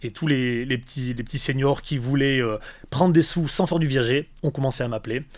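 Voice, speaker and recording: Fairly quickly and with ordinary pitch variation, a man speaks on a very clean recording against a silent background. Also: medium pitch for a man. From Valence, Drôme, southeastern France. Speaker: real estate agent. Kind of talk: podcast interview. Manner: animated.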